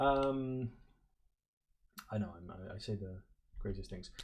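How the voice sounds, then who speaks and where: At a moderate pace, a man with a non-native accent speaks in a somewhat breathy, dark, mellow tone. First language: not English. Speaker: board game player and video creator. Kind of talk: gameplay commentary. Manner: hesitant, many fillers.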